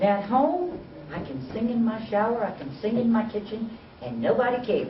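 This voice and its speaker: The speaker has a South Carolina accent. Background noise is noticeable. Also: moderate pace. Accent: Southern US (South Carolina). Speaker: university program director, presenter. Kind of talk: workshop presentation.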